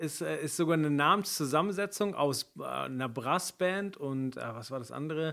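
A man's fairly high-pitched voice, bright and sharp in tone, with ordinary pitch variation, on a very clean recording with a silent background. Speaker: podcast co-host, event industry. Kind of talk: casual chat.

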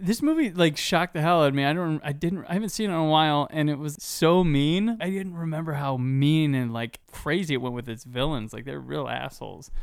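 Using a normal speaking voice, a man talks at a fairly quick pace with hardly any pauses, a fairly high pitch and ordinary pitch variation. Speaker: podcast host. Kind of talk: casual chat.

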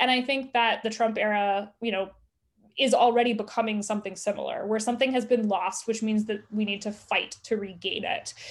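A woman with an American accent has a normal speaking voice, fairly high in pitch. She talks at a fairly quick pace with fairly even intonation over a quiet background. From US South. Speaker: journalist and author. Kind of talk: interview.

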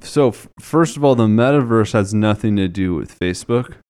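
A man with an ordinary speaking voice talks at a moderate pace and medium pitch, with ordinary pitch variation on a very clean recording with a silent background. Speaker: financial planner, podcast co-host. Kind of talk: casual chat about personal finance.

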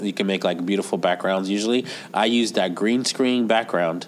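Over noticeable background noise, a man speaks at a moderate pace in a fairly low pitch. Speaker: podcast co-host; teacher. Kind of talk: casual tech podcast chat.

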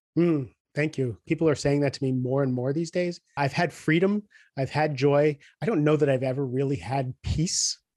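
In a quiet background with a dry, close sound and no echo, a man with an unremarkable speaking voice talks at a moderate pace, fairly high in pitch with ordinary pitch variation. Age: 50s. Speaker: executive coach and author. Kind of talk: casual chat.

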